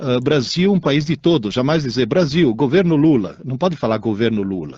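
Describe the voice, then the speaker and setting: Speaking at a moderate pace with a slight Italian accent, a man has a dark, mellow tone and lively intonation. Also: fairly high pitch for a man. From Italy. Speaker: radio co-host, teacher. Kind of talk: casual radio chat.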